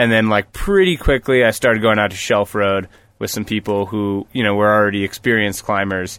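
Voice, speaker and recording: A man with an American accent talks at a fairly quick pace in an unremarkable speaking voice. His pitch is fairly low and his intonation fairly even. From US Northeast (New Paltz, New York). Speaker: rock climber. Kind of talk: casual chat. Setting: parked vehicle used as mobile studio.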